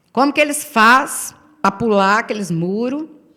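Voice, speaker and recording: In a Brazilian accent, a woman speaks at a fairly slow pace with a fairly high pitch and very wide pitch swings. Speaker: pastor. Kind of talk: sermon.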